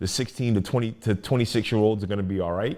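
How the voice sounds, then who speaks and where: In a very clean recording with a silent background, a man speaks with an American accent. He has a normal speaking voice at medium pitch with ordinary pitch variation. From Maryland, Prince George's County (DC area). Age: 40s. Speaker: rapper, poet and educator. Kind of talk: podcast interview. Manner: conversational, frequent fillers and restarts.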